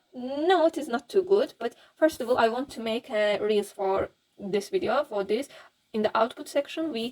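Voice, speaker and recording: A woman with a fairly high pitch speaks at a fairly slow pace with a non-native accent. Her intonation is lively. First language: not English. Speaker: Blender 3D tutorial youtuber. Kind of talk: tutorial. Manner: halting, many fillers.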